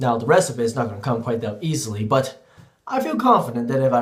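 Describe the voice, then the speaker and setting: A man speaks in a medium pitch. His pace is fairly quick. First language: Cantonese. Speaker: teacher. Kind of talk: vlog monologue.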